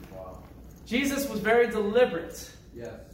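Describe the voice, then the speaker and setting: Speech comes at a fairly slow pace. Background noise is noticeable throughout. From Upstate New York (Syracuse area). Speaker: preacher. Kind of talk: sermon. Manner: animated.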